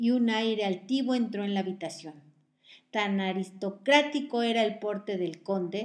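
The voice is plain reading aloud, with ordinary pitch variation.

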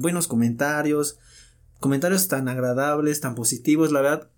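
A man speaks at a moderate pace. His voice is fairly high-pitched, with ordinary pitch variation. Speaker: podcast co-host. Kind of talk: casual chat. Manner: animated.

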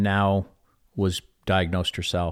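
A man speaks at a fairly slow pace in a very deep, low voice. The sound is dry and close with no echo, and the recording is very clean with a silent background. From Chicago, US Midwest. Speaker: author and speaker. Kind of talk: interview conversation.

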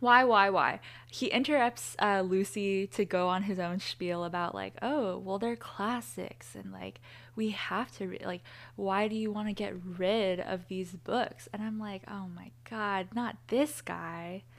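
A woman has a plain, everyday voice at medium pitch with ordinary pitch variation and big swings in loudness. The recording is very clean, with a silent background. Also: fairly slow pace. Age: 20s. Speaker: podcast co-host. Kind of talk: casual chat.

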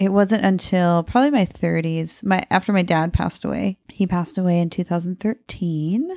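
This speaker has a Midwestern American accent and ordinary pitch variation. The recording is very clean with a silent background, and the sound is dry and close with no echo. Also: woman, fairly low pitch for a woman, moderate pace. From US Midwest, Cedar Rapids, Iowa. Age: 30s. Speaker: small business owner. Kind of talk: casual interview chat. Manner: laughs often.

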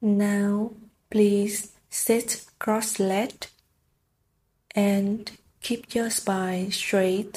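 At a very slow pace and with long, frequent pauses, a woman speaks in a gentle, soothing, dark and mellow tone, somewhat breathy, at medium pitch with monotone, flat intonation. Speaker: meditation teacher. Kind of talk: guided meditation. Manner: slow, gentle instructions with long pauses; soothing, soft-spoken.

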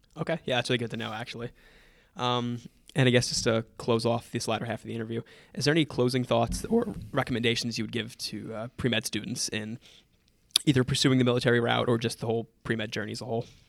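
Rattling along at a very fast pace, a man speaks at medium pitch in a monotone, flat intonation with vocal fry. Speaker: podcast host. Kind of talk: interview.

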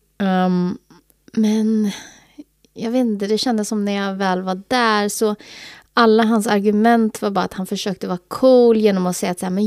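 A woman with an unremarkable speaking voice and a fairly high pitch speaks at a moderate pace with fairly even intonation on a very clean recording with a silent background. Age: 30s. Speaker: podcast co-host. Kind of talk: casual chat.

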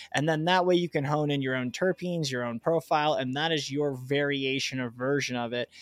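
A man's fairly high voice, a normal speaking voice, fairly quick with hardly any pauses and fairly even intonation. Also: dry, close sound with no echo. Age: 20s. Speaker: cannabis grower and podcast host. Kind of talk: solo podcast monologue. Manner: casual, filler-heavy.

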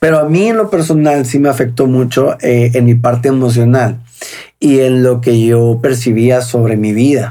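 A man speaks in a normal speaking voice at a medium pitch. His loudness stays very even, his intonation fairly even, and his pace moderate. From Mexico, Sonora (Hermosillo). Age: 30s. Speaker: recovered drug addict. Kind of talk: testimony.

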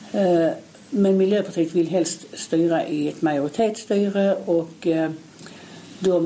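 Noticeable background noise behind a fairly low-pitched female voice. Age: 60s. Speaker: local opposition politician. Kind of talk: interview.

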